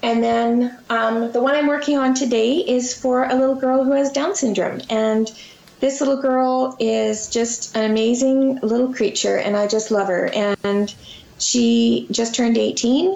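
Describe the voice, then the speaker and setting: A woman with a Canadian accent speaks at a fairly slow pace, high in pitch, with ordinary pitch variation and very even loudness. Noticeable background noise runs underneath. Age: 40s. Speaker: children's book author and illustrator. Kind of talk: interview. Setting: video call.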